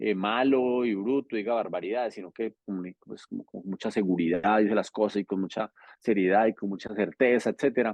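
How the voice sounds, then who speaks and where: A man with a fairly low voice talks at a fairly quick pace with hardly any pauses. His intonation stays fairly even while his loudness swings widely. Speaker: politician. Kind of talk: interview. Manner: fast; natural, informal.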